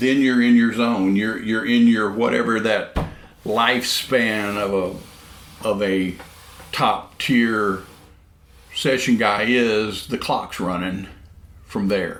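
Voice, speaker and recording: Amid noticeable background noise and audible room echo, a man speaks at a very slow pace and a medium pitch with fairly even intonation, leaving long, frequent pauses. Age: 60s. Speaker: session drummer. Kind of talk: casual interview chat. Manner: halting, many repeated words.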